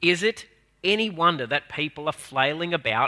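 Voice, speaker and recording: Someone with an Australian accent talks at a moderate pace with lively intonation and a bright, sharp tone. The recording is very clean with a silent background and a dry, close sound with no echo. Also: man. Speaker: minister. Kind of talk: sermon. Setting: church.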